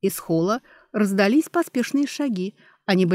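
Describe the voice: Lively intonation in plain reading aloud, against a quiet background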